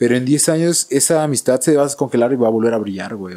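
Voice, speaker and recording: His tone dark and mellow, a man talks at a fairly quick pace with lively intonation. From Mexico, Oaxaca. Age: 20s. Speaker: violinist. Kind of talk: casual chat.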